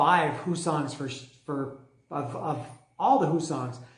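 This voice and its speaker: The room echo is audible. A man speaks at a moderate pace. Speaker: music reviewer. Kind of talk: casual monologue review. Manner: halting, many fillers.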